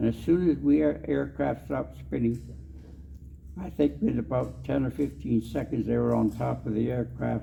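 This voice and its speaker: A man with a very deep, low voice speaks at a moderate pace with very wide pitch swings. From Canadian Prairies, Saskatchewan. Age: 80s+. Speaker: war veteran. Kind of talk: storytelling talk. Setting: convention stage with audience.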